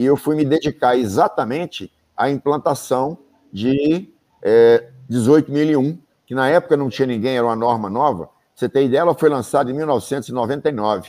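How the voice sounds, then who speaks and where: Speaking at a fairly slow pace, a man has a medium pitch and a dark, mellow tone. His pitch varies in an ordinary way. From Brazil, Bahia and interior of Minas Gerais. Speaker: safety engineer and professor. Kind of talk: interview in a live stream.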